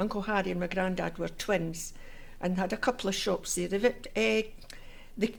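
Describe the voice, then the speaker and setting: This woman speaks with a Scottish accent and ordinary pitch variation. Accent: Scottish (Fife). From Scotland, Fife (Inverkeithing). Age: 70s. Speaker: oral history interviewee. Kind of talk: oral history interview. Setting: civic centre room.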